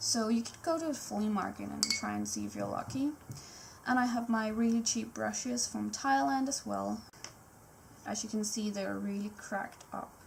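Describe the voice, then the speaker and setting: The woman keeps a moderate pace while noticeable background noise runs underneath. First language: Danish. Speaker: art YouTuber. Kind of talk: live voiceover tutorial. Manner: casual, spontaneous.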